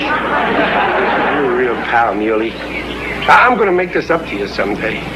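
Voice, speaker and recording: Very wide pitch swings at a fairly slow pace, with crowd noise in the background. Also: man, medium pitch for a man. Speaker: radio sitcom actor playing the lead. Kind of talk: old-time radio sitcom dialogue.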